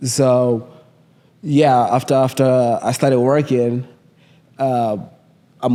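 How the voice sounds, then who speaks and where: In a strong Kenyan accent, a man speaks at a medium pitch with a dark, mellow tone. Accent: Kenyan, thick (self-described). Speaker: trader. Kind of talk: interview. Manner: halting, many fillers.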